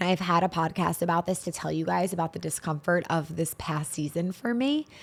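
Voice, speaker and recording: Over a very clean recording with a silent background, a woman with an unremarkable speaking voice talks at a moderate pace and a fairly low pitch, with ordinary pitch variation. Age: 30s. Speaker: spiritual podcast host. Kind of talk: solo podcast monologue.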